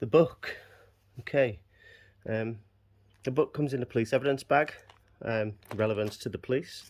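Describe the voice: A man talks at a moderate pace and medium pitch. His tone is slightly mellow, with ordinary pitch variation.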